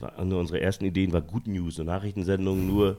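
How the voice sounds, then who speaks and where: A very deep, low-pitched man's voice with a dark, mellow tone at a very fast pace, on a very clean recording with a silent background. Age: 40s. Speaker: comedy writer and TV producer. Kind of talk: casual interview chat. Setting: at the host's home.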